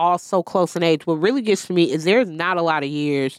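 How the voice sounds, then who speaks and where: This woman has a plain, everyday voice, fairly low in pitch with ordinary pitch variation, talking at a fairly quick pace on a very clean recording with a silent background. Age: 30s. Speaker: podcast co-host. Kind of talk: casual chat.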